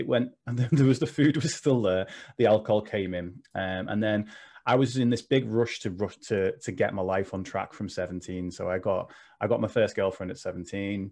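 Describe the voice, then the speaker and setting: Over a quiet background, a man talks at a moderate pace in a plain, everyday voice. His pitch is fairly low, with ordinary pitch variation. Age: 30s. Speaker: mental health coach, former personal trainer. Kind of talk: casual interview chat.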